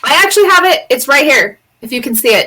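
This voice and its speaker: A woman uses a raised, projected voice. Her pitch swings very widely. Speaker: podcast co-host. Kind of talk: casual group chat at a live online event. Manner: loud.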